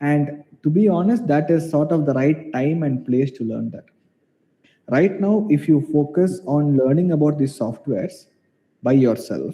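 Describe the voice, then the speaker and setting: A man's fairly high-pitched voice with a dark, mellow tone, ordinary pitch variation and a Keralan accent. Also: moderate pace. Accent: Indian English, Malayali. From India, Kerala. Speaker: mathematics professor. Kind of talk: online Q&A session. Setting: video call. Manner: halting.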